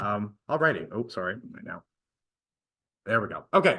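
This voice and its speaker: Over a quiet background, a man speaks at a very fast pace with very wide pitch swings and a bright, sharp tone. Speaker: guest speaker on astronomy. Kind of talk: lecture. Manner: animated.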